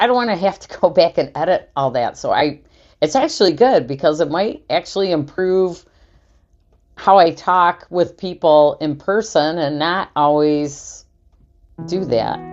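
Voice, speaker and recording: Against a quiet background, a woman with a fairly low pitch talks at a fairly slow pace with lively intonation. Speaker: new YouTuber. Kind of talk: casual vlog monologue. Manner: hesitant, many fillers.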